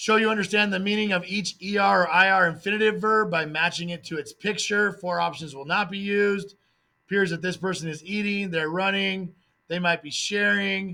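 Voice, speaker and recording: Raised and projected, a man's high voice has a bright, sharp tone and fairly even intonation. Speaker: Spanish teacher. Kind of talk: test review tutorial. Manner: fast.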